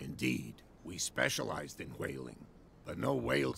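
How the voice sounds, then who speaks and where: A man's very deep, low, raspy put-on character voice with fairly even intonation and a moderate pace, over clear background noise. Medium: video game. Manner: hearty, self-assured.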